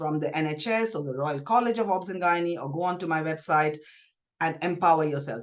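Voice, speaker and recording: Fairly quick, ordinary pitch variation, a woman's voice. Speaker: gynaecologist. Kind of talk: podcast interview. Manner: fast.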